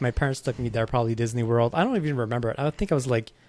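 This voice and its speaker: In a very clean recording with a silent background, a man speaks with a Quebec accent. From Quebec, Montreal. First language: French. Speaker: podcast host. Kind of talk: casual chat.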